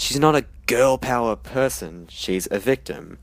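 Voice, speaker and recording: With an Australian accent, a man of medium pitch speaks at a moderate pace with lively intonation. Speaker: film reviewer. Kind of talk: scripted review monologue.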